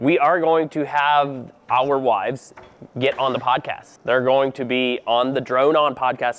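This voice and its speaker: A man talks in a relaxed tone at a medium pitch. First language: Pennsylvania Dutch. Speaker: drone deer recovery pilot, vlogger. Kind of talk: casual vlog talk to camera. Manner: relaxed, informal.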